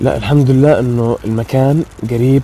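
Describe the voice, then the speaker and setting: There is light background noise. The sound is dry with no echo. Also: man. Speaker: paranormal explorer vlogger. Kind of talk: casual vlog chat. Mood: nervous, hushed, fearful. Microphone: phone near.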